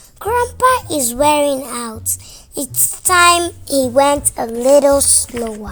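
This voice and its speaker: A woman performs a put-on character voice with a high pitch at a fairly slow pace. Her loudness swings widely. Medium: read story.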